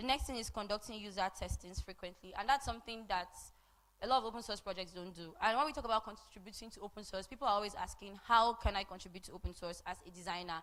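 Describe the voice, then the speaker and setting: Talking very fast at a medium pitch, a woman shows ordinary pitch variation and big swings in loudness. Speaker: conference speaker on open source design. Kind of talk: conference talk. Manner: conversational.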